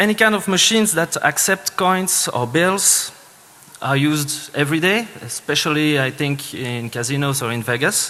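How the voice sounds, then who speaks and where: A man with a fairly high pitch speaks with lively intonation over noticeable background noise. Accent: Swiss French. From French-speaking Switzerland. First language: French. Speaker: security engineer, conference speaker. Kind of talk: conference talk. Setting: stage with audience. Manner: halting, many fillers.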